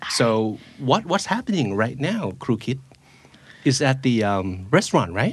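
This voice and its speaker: Speaking fairly slowly with a Thai accent, a man's medium-pitched voice swings very widely up and down. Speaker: podcast host. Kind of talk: casual chat.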